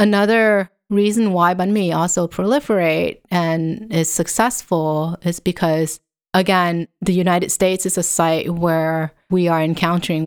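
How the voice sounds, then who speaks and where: On a very clean recording with a silent background, a woman with a Vietnamese accent speaks at a fairly low pitch and a fairly slow pace with fairly even intonation. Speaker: professor. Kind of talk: interview.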